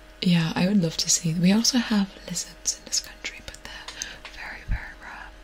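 Whispering and soft-spoken, a woman talks at a moderate pace with big swings in loudness over light background noise. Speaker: ASMR streamer. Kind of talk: soft casual live-stream chat. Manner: soft close-mic whisper. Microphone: studio mic.

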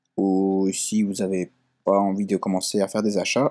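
A man's fairly low-pitched voice, dark and mellow in tone. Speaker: tech tutorial YouTuber. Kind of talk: tutorial. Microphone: built-in laptop mic.

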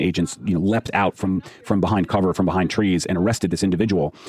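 With fairly even intonation and a very deep, low pitch, a man rushes along at a very fast pace against noticeable background noise. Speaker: investigative journalist. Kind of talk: interview, explaining the case. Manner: measured, explanatory, with fillers.

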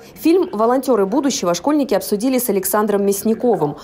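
This woman's lively intonation and fairly quick pace come through noticeable background noise. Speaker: TV news reporter. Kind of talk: news report narration.

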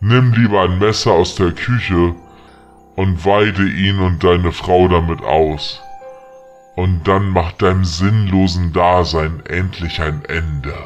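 Clear music plays in the background as a man uses a put-on character voice. It is very deep and low, delivered at a fairly slow pace. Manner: taunting, mocking.

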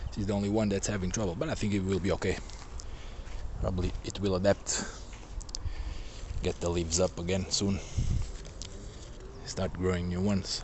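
Over noticeable background noise, a man speaks fairly quickly in a very deep, low pitch, his intonation fairly even and the sound dry with no echo. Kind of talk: casual vlog chat. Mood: calm, mildly concerned. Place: garden. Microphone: phone near.

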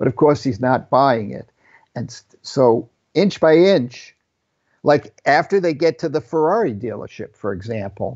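A man with an ordinary speaking voice talks at a fairly slow pace, his fairly high pitch moving with lively intonation. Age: 60s. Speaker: film cinematographer. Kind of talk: casual interview conversation. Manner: self-deprecating joker.

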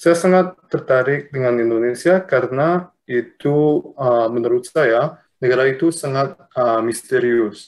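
A Luxembourgish accent comes through at a fairly slow pace, with hardly any pauses. Loudness stays very even, and the pitch moves in an ordinary way. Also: man. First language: Luxembourgish (speaking Indonesian). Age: young. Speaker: mathematics lecturer. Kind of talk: interview. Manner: halting with many fillers. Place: home room. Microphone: video call.

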